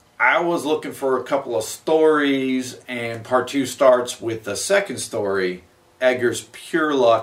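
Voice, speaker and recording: The delivery is fairly slow, with lively intonation. It is an unremarkable speaking voice. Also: man. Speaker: interviewer. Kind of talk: interview introduction.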